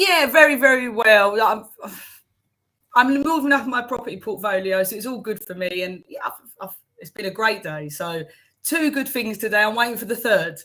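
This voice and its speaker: Speaking at a moderate pace, a woman with a Cockney accent uses a fairly high, bright, sharp voice and lively intonation. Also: big swings in loudness. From South London, England. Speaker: accountant and life coach. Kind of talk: interview.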